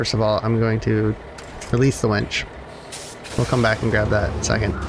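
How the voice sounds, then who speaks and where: Noticeable background noise runs under this clip. A man talks fairly quickly at a fairly low pitch with fairly even intonation. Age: adult. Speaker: gaming YouTuber. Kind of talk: gameplay commentary. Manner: halting, stops mid-sentence; many fillers (um, uh).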